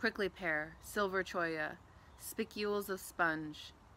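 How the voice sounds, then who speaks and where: A woman speaks at a fairly low pitch and a very slow pace with fairly even intonation. The sound is dry with no echo, and there is light background noise. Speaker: community engagement manager, reading a poem. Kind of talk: poetry reading. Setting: outdoors in a garden. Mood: calm, soft, reflective. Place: garden. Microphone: phone near.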